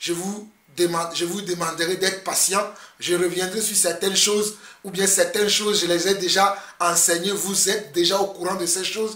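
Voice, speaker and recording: A man with a high pitch projects his voice at a moderate pace. His intonation stays monotone and flat, and background noise is noticeable. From Togo. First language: Mina (Ewe) (speaking French). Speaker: pastor. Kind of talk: video sermon commentary. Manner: halting with repetitions.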